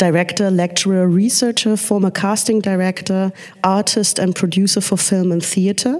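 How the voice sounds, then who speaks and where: Against noticeable background noise, a woman of medium pitch talks at a moderate pace with very even loudness and fairly even intonation. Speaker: panel moderator. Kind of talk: panel discussion. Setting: stage with audience.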